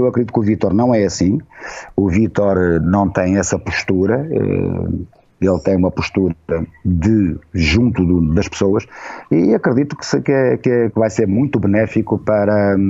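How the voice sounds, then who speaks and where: Lively intonation and a dark, mellow tone. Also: man, fairly low pitch for a man. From Portugal. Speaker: journalist and former radio director. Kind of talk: casual interview chat. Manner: slow, deliberate; hesitant, with fillers and repetitions.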